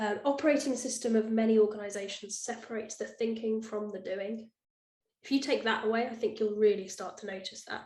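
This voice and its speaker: A somewhat breathy woman's voice, fairly high in pitch and fairly quick, with fairly even intonation and big swings in loudness. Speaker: presenter summarizing a book. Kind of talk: talk presentation. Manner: fast.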